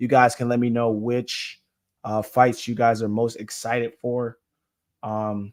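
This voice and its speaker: A man's medium-pitched, monotone, flat voice at a fairly slow pace, on a very clean recording with a silent background. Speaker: MMA streamer and commentator. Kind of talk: live stream commentary chat.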